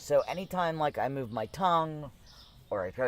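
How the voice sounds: With lively intonation, a man speaks at a fairly slow pace, his clear, smooth tone set at a fairly high pitch.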